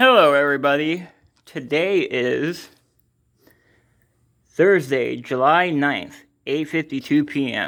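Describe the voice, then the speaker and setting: Over a very clean recording with a silent background, a man mumbles at a very slow pace with long, frequent pauses, his fairly high pitch showing ordinary variation. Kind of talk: casual video journal talk to camera. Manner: mumbling.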